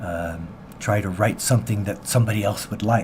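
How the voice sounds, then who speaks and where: Over noticeable background noise, a man with an American accent talks at a fairly quick pace, his fairly low pitch showing ordinary variation. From US Pacific Northwest, Seattle. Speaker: singer-songwriter. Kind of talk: radio interview. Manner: halting.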